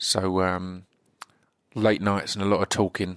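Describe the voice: A man with a low pitch and little pitch movement speaks at a fairly slow pace in a clear, smooth, fairly bright tone.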